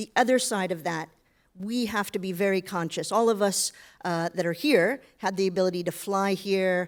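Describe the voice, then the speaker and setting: Recorded very cleanly against a silent background, a woman with an American accent and a normal speaking voice talks at medium pitch with ordinary pitch variation. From United States. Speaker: business director, panelist. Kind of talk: panel discussion.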